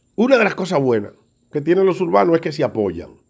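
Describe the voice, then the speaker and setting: In a Dominican accent, a man with a high pitch speaks with very wide pitch swings against a quiet background. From Dominican Republic, Santo Domingo. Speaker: comedian. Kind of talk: video statement. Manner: halting. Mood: indignant, accusing. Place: home room. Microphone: phone near.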